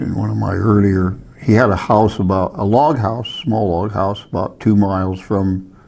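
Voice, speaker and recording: A man speaks at a moderate pace with ordinary pitch variation, and there is noticeable background noise. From Alaska, Palmer. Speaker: hunting guide and wildlife technician. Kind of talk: oral history interview. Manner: halting, with false starts.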